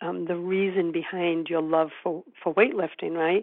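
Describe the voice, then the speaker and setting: A normal speaking voice from a woman, medium in pitch, at a moderate pace. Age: 50s. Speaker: podcast host and publisher. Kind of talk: interview.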